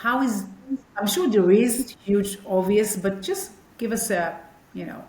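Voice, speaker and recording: With noticeable background noise and audible room echo, a woman with a non-native accent speaks at a fairly high pitch with ordinary pitch variation. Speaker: podcast host. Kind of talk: interview. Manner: animated.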